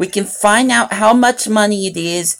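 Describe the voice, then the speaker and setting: A woman is speaking. Her intonation is lively. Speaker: gaming livestreamer. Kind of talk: livestream chat. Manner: loud; animated.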